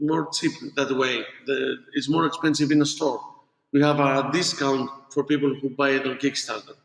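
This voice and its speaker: A man with a non-native accent speaks at a moderate pace and fairly high pitch. His intonation is flat and monotone, his loudness very even. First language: not English. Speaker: board game designer. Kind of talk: interview. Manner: halting.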